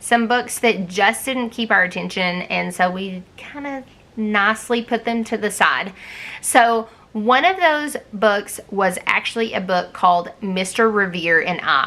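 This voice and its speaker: In a strong Southern US accent, a woman talks at a fairly slow pace with ordinary pitch variation. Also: medium pitch for a woman. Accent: thick Southern US. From US South. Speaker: homeschool vlogger. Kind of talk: book review vlog. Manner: casual, conversational.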